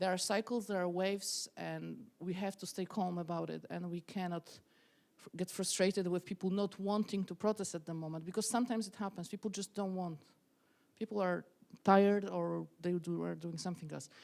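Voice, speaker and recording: A woman with a Polish accent talks at a fairly quick pace. Her pitch is medium and her intonation fairly even. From Poland, small city. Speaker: activist and protest leader. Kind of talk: interview. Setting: stage with audience. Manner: halting, self-correcting.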